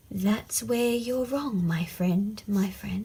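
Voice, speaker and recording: Putting on a character voice, a woman speaks at a very slow pace in a medium pitch. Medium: read story. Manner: repeats words.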